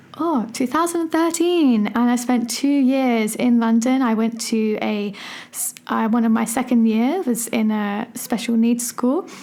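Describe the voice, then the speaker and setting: With an English accent, a woman speaks at a high pitch and a fairly slow pace, with ordinary pitch variation and hardly any pauses. Noticeable background noise can be heard. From England. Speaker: primary school teacher and podcast host. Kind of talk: solo podcast monologue. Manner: casual, with many fillers.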